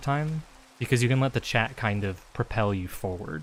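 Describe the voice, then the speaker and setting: Soft-spoken, a man talks at a fairly quick pace. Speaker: streamer. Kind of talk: casual chat. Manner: casual, filler-heavy.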